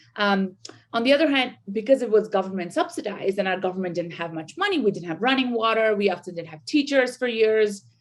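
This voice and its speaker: A woman with a Bengali accent speaks with lively intonation. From India. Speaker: sociology professor. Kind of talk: podcast interview. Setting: video call. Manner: halting, many fillers.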